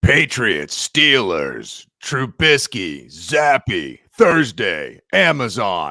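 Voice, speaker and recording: Using a put-on character voice, a man speaks at a very slow pace and a medium pitch. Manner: hyped-up, fake announcer delivery.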